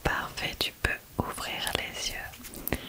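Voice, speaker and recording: A woman speaks over loud background noise. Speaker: ASMR creator. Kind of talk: soft-spoken ASMR guided relaxation. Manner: soft, hushed ASMR voice. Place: home room. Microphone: studio mic.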